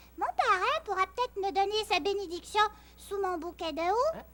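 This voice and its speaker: A cartoonish character voice, female-sounding and extremely high in pitch, comes through over light background noise. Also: moderate pace. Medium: puppet.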